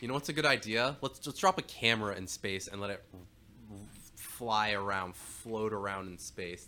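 A man talks at a moderate pace. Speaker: comedic co-host contributor. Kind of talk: casual comedic riffing. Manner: jokey, rambling.

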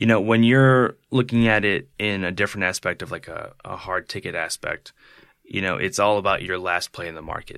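A man with an American accent, an ordinary speaking voice, fairly low pitch, ordinary pitch variation and a fairly quick pace, in a very clean recording with a silent background and dry, close sound with no echo. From Buffalo, New York. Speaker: music booking agent. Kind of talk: casual interview.

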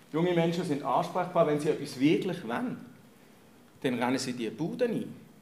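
This man has a fairly high pitch that swings very widely, and he speaks at a moderate pace with long, frequent pauses. Room echo is audible. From Germany. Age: 50s. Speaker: church leader and pastoral worker. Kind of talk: talk to an audience.

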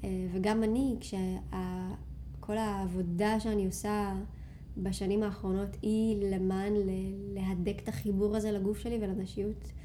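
Soft-spoken and very even in loudness, a woman talks at a very slow pace amid audible room echo and music in the background. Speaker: yoga teacher and retreat leader. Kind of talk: casual interview chat. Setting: studio, sitting on the floor.

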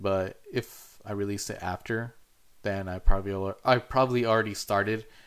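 The speech keeps a moderate pace with fairly even intonation. The recording is very clean, with a silent background. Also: man. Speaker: podcaster. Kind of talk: casual solo podcast monologue. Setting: home studio. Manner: informal, hesitant with fillers.

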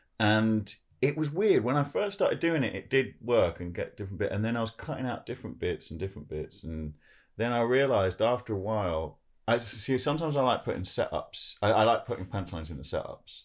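A man talks very fast at medium pitch with very wide pitch swings and vocal fry, in a very clean recording with a silent background. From Jersey. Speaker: comedian. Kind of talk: casual chat. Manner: halting.

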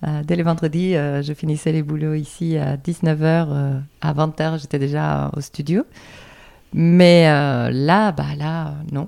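Flat and monotone, a woman speaks at a very slow pace in a very deep, low pitch with a dark, mellow tone. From Andalusia, Spain. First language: Spanish (speaking French). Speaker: dance teacher. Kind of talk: interview.

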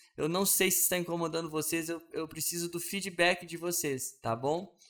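A man speaks in a high voice with a bright, sharp tone. His pace is moderate. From Brazil, Belo Horizonte. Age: 30s. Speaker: podcast host. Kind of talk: casual monologue. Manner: hesitant with fillers.

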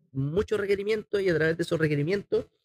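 A man with a Chilean accent, recorded dry and close with no echo. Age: 40s. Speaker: chef and entrepreneur. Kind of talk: casual interview.

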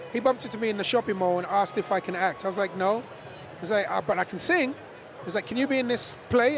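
Crowd noise fills the background as a man with an American accent talks at a fairly quick pace. His pitch varies in an ordinary way. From London, England. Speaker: singer. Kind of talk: casual chat.

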